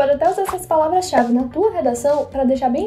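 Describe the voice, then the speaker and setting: Over music in the background, a woman talks at a very fast pace in a high voice with ordinary pitch variation. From São Luís, Maranhão, Brazil. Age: 20s. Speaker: medical student and content creator. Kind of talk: casual educational talk to camera.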